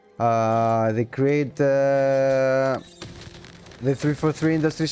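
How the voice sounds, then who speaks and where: A man with a Greek accent over noticeable background noise. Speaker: gaming livestreamer. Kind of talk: casual livestream commentary. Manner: halting.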